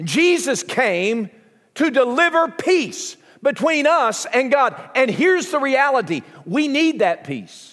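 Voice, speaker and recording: In a Southern US accent, a man with an extremely high pitch talks at a very slow pace with lively intonation, on a very clean recording with a silent background. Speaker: pastor. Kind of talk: sermon. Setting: church.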